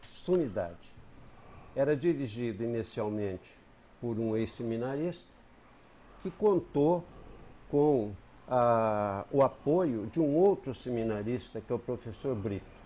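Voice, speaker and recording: A dark, mellow tone comes at a fairly slow pace, broken by long, frequent pauses. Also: man. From southern Minas Gerais, Brazil. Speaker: writer and retired teacher. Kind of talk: TV interview, reminiscing. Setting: TV studio. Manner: halting with self-corrections.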